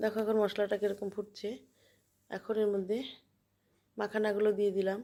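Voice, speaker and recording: A soft-spoken woman talks at a medium pitch with a dark, mellow tone. Her intonation is monotone and flat, and her loudness stays very even. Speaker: home cook. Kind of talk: cooking tutorial.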